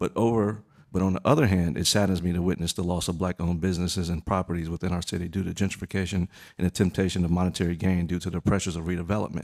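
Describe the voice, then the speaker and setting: In a very clean recording with a silent background, a man with a very deep, low pitch and an American accent speaks at a very fast pace with fairly even intonation, the sound dry and close with no echo. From US South, Raleigh, North Carolina. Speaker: property owner speaking at public hearing. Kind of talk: prepared public statement. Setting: city council meeting.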